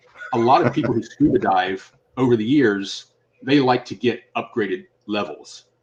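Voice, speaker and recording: Speaking at a moderate pace, a man with a normal speaking voice and an American accent talks at medium pitch. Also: ordinary pitch variation. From Virginia, Shenandoah Valley. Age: 60s. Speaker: musician and author. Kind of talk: casual interview chat.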